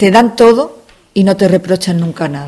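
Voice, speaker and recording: A woman speaks at a moderate pace in a medium pitch. Her tone is dark and mellow. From Andalusia, Spain. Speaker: family doctor. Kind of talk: interview.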